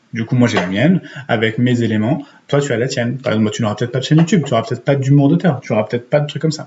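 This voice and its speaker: Very fast male speech, somewhat breathy, at medium pitch with ordinary pitch variation. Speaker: YouTuber and writer giving writing and Instagram tips. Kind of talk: casual tutorial. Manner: hesitant with many fillers.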